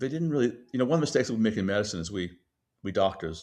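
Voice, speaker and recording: A man with a fairly low voice talks at a very fast pace. His pitch swings very widely. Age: 70s. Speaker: physician and company CEO. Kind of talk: interview. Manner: halting, many restarts and fillers.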